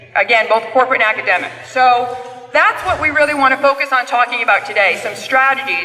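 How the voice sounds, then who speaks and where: Over music in the background, a woman with a high, raised, projected voice talks at a very fast pace with ordinary pitch variation. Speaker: panel moderator. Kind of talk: conference presentation.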